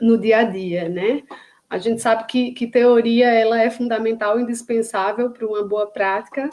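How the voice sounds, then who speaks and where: A woman with a Paraíba accent, fairly high in pitch, at a moderate pace with fairly even intonation. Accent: northeastern Brazilian (Paraíba). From Paraíba, northeastern Brazil. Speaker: psychologist and neuropsychologist. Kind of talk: online lecture (live stream). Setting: live stream on social media. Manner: hesitant, many fillers and repetitions.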